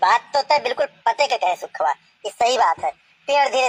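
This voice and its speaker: A cartoonish character voice, female-sounding and fairly high in pitch, at a fairly quick pace. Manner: grumbling, rustic.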